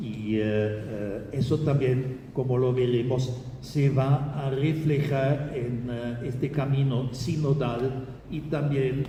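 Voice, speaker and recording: Over noticeable background noise and audible room echo, a man talks at a very slow pace with a medium pitch and fairly even intonation. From Germany. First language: German (speaking Spanish). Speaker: Jesuit priest, theologian. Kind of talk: lecture. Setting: auditorium with audience. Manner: halting, many hesitations.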